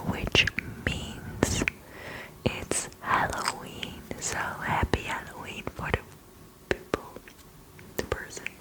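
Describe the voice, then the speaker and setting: Whispering very slowly, a woman leaves long, frequent pauses over noticeable background noise. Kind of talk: casual talk to camera, intro greeting. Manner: whispered, soft-spoken.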